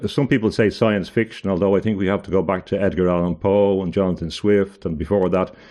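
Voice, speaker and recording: A man's fairly low, dark, mellow voice in an Irish accent, against a quiet background. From Ireland. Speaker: barrister and author. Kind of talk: interview conversation. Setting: video call.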